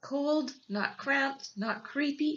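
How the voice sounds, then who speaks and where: A woman puts on a squeaky character voice, high in pitch and delivered at a very slow pace. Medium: read story.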